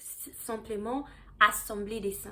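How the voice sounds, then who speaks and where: Her pitch fairly high and her intonation fairly even, a woman speaks at a very slow pace. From South Africa. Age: 20s. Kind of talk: testimony. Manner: halting, with fillers and restarts.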